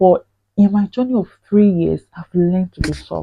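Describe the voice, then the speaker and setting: A woman with a Nigerian accent speaks at medium pitch and a moderate pace, with ordinary pitch variation. Her voice is somewhat breathy, and the sound is dry and close with no echo. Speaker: vlogger. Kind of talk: personal vlog monologue. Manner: forceful, intense when passionate.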